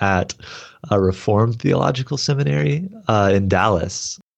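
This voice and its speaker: A normal speaking voice from a man with an American accent, fairly low in pitch, at a moderate pace with lively intonation. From Texas. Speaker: seminary graduate. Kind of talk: interview.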